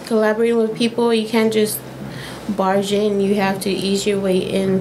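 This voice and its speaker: Over noticeable background noise, a woman talks at a moderate pace with an American accent. Her intonation is monotone and flat. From United States. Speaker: social work student; guest. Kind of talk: casual chat. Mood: warm, heartfelt, reflective. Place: office. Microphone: studio mic.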